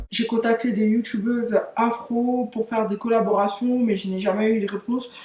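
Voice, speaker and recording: A woman speaks at a fairly high pitch with fairly even intonation over noticeable background noise. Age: 30s. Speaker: YouTuber. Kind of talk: casual vlog talk to camera. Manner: hesitant, many fillers.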